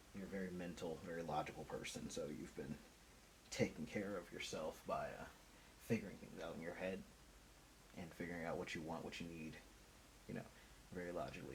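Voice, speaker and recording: A man speaks very fast at a very deep, low pitch, with fairly even intonation, long, frequent pauses and audible room echo. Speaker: tarot reader. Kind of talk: intuitive tarot reading monologue. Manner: casual, conversational.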